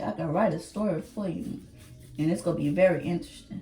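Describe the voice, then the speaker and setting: A woman speaks at a fairly quick pace with lively intonation. Her pitch is fairly low, and there is noticeable background noise. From Trinidad. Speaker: YouTuber. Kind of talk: casual chat. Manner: halting.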